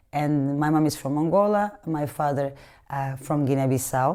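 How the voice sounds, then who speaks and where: In a very deep, low voice with a dark, mellow tone, a woman speaks with fairly even intonation. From Portugal, Lisbon suburbs. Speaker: capoeira teacher. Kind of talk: interview. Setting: living room. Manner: halting, many fillers.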